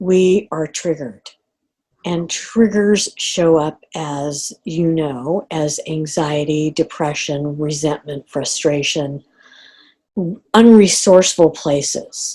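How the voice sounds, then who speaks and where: Very slowly, a woman speaks with a very deep, low pitch, a dark, mellow tone, and ordinary pitch variation. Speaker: life coach and trainer. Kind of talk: live online course coaching session. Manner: slow, deliberate.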